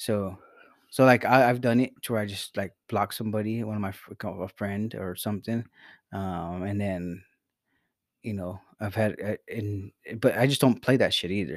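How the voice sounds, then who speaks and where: On a very clean recording with a silent background, a man with an ordinary speaking voice talks at a fairly low pitch, with ordinary pitch variation and big swings in loudness. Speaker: podcast host. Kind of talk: casual comedic banter with profanity.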